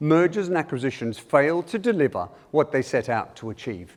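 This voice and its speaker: A man with an Australian accent at a moderate pace, his pitch swinging very widely. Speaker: keynote speaker, change management consultant. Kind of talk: conference talk. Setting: stage with audience. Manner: animated.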